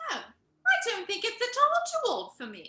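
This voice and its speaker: A woman speaks at a moderate pace in a squeaky, put-on character voice with an extremely high pitch and very wide pitch swings. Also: big swings in loudness. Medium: audio drama.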